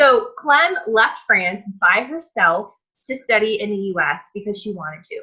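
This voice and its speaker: In an American accent, a woman with a normal speaking voice and medium pitch talks with lively intonation. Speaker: cooking channel host. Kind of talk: casual interview chat.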